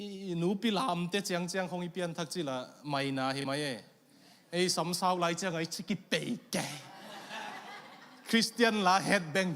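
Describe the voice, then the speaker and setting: This man's voice is high-pitched. The pitch rises and falls in an ordinary way. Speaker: pastor. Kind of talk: sermon. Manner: code-switching, storytelling.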